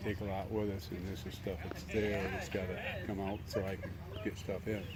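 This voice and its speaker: A man with a very deep, low pitch speaks at a moderate pace amid noticeable background noise and audible room echo. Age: 80s+. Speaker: garage sale seller. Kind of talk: casual chat.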